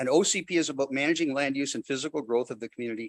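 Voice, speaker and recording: A man talks with a dry, close sound with no echo. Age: 70s. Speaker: developer speaking at public hearing. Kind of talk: public hearing comment. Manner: animated.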